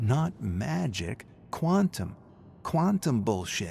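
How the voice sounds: Putting on a character voice, a man speaks slowly at a medium pitch with big pitch swings, vocal fry and a slightly mellow tone on a very clean recording with a silent background.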